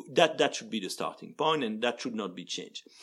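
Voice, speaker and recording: A man with vocal fry and very wide pitch swings. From Belgium. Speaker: law professor. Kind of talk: expert interview.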